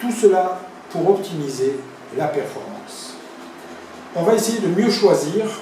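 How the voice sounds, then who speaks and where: A man's fairly slow speech amid noticeable background noise and audible room echo. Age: 60s. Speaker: sports physiotherapist. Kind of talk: promotional self-presentation.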